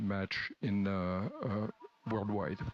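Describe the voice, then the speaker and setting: A man talks at a very slow pace with a French accent. The sound is dry and close, with no echo. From France. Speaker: event presenter. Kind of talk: speaker introduction. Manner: hesitant, many fillers.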